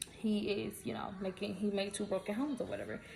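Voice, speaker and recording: A woman's medium-pitched voice is heard with noticeable background noise. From US South, Atlanta, Georgia. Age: 20s. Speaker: vlogger. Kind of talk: casual storytime vlog. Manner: fast; animated.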